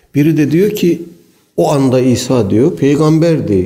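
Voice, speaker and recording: This man speaks with audible room echo. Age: 60s. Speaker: Islamic preacher. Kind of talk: religious lecture.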